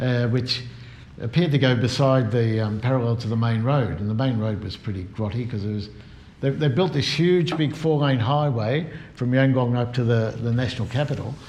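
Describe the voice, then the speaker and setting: Somewhat breathy, a man with a medium-pitched voice talks at a fairly quick pace. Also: ordinary pitch variation. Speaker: bicycle tourer giving an oral history talk. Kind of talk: oral history talk about cycling trips. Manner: conversational, storytelling.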